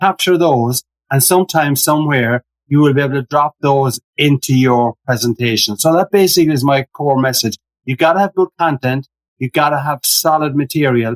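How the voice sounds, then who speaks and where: In an Irish accent, a man with a fairly high pitch and ordinary pitch variation speaks in a dry, close sound with no echo. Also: moderate pace. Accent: Irish brogue. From Ireland. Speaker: humorous keynote speaker. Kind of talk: podcast interview.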